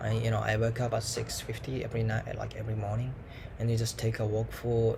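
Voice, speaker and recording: Audible room echo follows a man speaking at a fairly quick pace in a medium pitch. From Japan. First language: Japanese. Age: 20s. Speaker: language student vlogger. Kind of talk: casual monologue vlog. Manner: halting, many fillers. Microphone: laptop mic.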